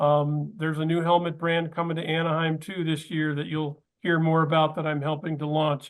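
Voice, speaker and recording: Monotone, flat intonation marks a man speaking at a fairly high pitch with an American accent. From US Southern California. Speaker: podcast host. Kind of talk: panel discussion.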